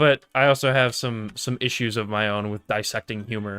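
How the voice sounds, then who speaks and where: Against a silent background, a man's voice comes through in a very clean recording. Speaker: podcast host. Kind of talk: casual chat. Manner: slow cadence.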